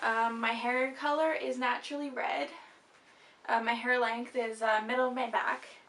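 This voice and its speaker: At a moderate pace, a woman with a high pitch speaks with fairly even intonation and very even loudness, in audible room echo. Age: young. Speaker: vlogger. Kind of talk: casual chat.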